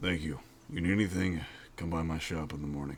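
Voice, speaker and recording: Over clear background noise, a man puts on a raspy character voice, very deep and low in pitch, rattling along at a very fast pace with fairly even intonation. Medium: actual play. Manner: terse, restrained.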